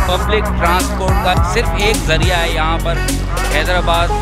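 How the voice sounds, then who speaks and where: A man's voice over loud music in the background, with a dry sound and no echo. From Hyderabad, Sindh, Pakistan. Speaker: travel vlogger. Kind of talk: casual travel vlog talk to camera. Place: street. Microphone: phone near.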